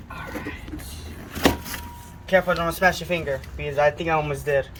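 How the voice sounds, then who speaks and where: Words tumble out fairly quickly while noticeable background noise plays underneath. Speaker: car hobbyist vlogger. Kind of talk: unboxing video. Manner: casual; loud.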